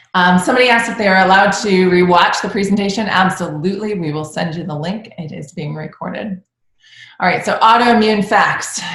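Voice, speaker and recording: A woman of medium pitch speaks at a fairly quick pace with ordinary pitch variation and big swings in loudness, with audible room echo around her. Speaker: functional medicine doctor. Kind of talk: webinar presentation. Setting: online webinar. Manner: fast.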